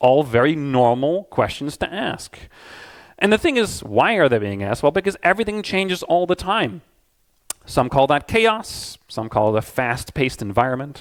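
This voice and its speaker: Loud and fairly high-pitched, a man speaks at a moderate pace. His pitch swings very widely. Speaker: game tool designer and consultant giving a talk. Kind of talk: conference talk. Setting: stage with audience.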